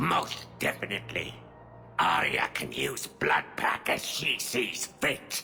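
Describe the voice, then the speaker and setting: Over background music, a man growls in a put-on character voice at a fairly slow pace. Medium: video game. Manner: gruff, clipped broken grammar.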